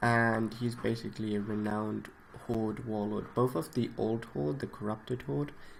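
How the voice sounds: You can hear a natural reading voice here.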